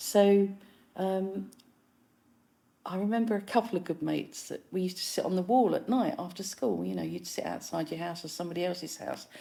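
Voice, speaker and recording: At a fairly quick pace, a woman talks in a dark, mellow tone at medium pitch with ordinary pitch variation. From East London, England. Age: 60s. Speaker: musician and filmmaker. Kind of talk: casual chat.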